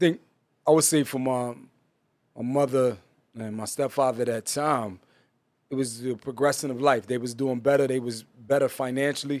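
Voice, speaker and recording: A man with a New Jersey accent talks at a moderate pace in a medium-pitched voice, with fairly even intonation and long, frequent pauses. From New Jersey (East Orange, North Jersey). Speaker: pastor. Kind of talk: casual interview.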